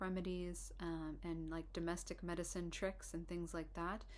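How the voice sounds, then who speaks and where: Soft-spoken speech comes at a moderate pace, with audible room echo. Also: woman. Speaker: herbalist and herbal instructor. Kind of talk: informal lecture. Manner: hesitant, many fillers and restarts.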